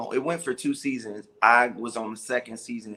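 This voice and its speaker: At a moderate pace, a man with an American accent talks in an ordinary speaking voice of medium pitch. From Chicago. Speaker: stand-up comedian. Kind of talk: interview answer.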